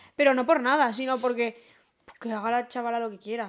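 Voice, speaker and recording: A woman's high-pitched voice. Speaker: podcast co-host. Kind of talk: casual chat.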